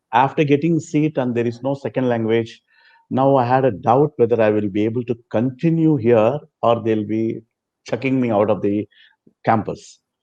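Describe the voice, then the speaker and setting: Speaking at a medium pitch with a Telugu accent, a man has a dark, mellow tone and ordinary pitch variation. He leaves long, frequent pauses. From South India (Chennai). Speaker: former student sharing experience. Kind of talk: interview testimony.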